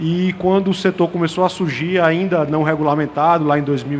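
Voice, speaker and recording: Noticeable background noise sits behind a man speaking at a moderate pace. His pitch is fairly high, with ordinary variation. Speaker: industry panelist. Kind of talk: panel discussion. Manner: halting, many repetitions and fillers.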